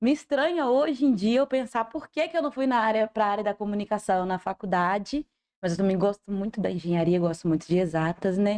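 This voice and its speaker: A woman with an ordinary speaking voice, medium pitch and lively intonation talks at a fairly quick pace, the sound dry and close with no echo over a quiet background. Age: 20s. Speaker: cancer patient and digital influencer. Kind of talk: podcast interview.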